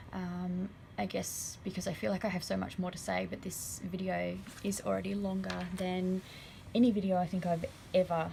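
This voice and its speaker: A woman's dark, mellow, somewhat breathy voice at medium pitch, with fairly even intonation and an Australian accent. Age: 20s. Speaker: horse owner and rider. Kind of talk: vlog voiceover.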